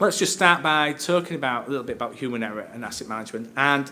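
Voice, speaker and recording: A man's fairly high-pitched, bright and sharp voice at a very fast pace, with ordinary pitch variation and audible room echo. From northern England, Hull. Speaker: safety director and occupational psychologist. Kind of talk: conference presentation. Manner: conversational, hesitant with fillers.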